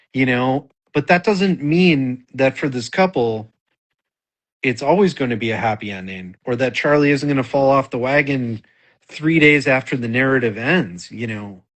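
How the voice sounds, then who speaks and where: An American-accented man has an unremarkable speaking voice at a medium pitch. He moves at a moderate pace with lively intonation. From Wisconsin, US Midwest. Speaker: novelist. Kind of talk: casual interview chat.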